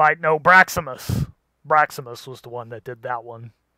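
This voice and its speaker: Putting on a character voice, a man speaks at a moderate pace. His pitch is medium. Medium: actual play.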